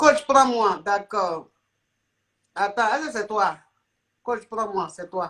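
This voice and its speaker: Lively in intonation, a woman with a fairly high pitch talks very slowly, with long, frequent pauses. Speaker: life coach and live streamer. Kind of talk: live stream call-in chat.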